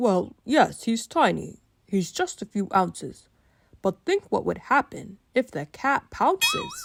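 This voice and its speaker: Using a put-on character voice, a woman speaks at a fairly slow pace with a dry, close sound and no echo. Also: fairly high pitch for a woman. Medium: read story.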